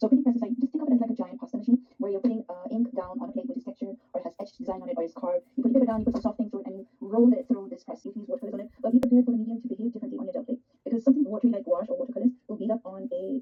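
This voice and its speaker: A woman with a Pakistani accent talks at a very fast pace in a high voice. Her pitch variation is ordinary, while her loudness swings widely. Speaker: art teacher. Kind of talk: live online art workshop. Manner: animated.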